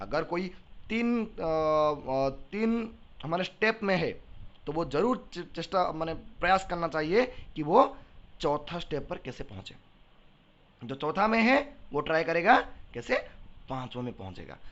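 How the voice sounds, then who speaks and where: In an Odia accent, a man with a high pitch and an animated tone makes very wide pitch swings and big swings in loudness, leaving long, frequent pauses. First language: Odia (speaking Hindi). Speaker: teacher. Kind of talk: lecture.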